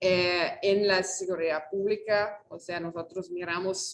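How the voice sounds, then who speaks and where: A woman at a medium pitch speaks at a fairly slow pace. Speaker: researcher. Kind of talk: invited talk. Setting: auditorium, video call. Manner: halting, many fillers.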